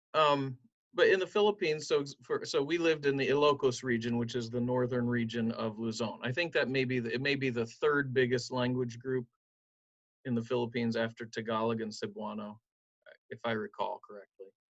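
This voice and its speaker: With an American accent, a man in a normal speaking voice talks at a fairly quick pace, medium pitch and ordinary pitch variation. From southern Ohio, Appalachian roots. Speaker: pastor. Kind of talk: interview.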